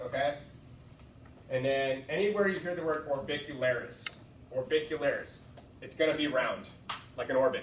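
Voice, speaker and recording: Noticeable background noise and audible room echo surround a man whose voice sits fairly high. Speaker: student tutor. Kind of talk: tutoring session. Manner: fast.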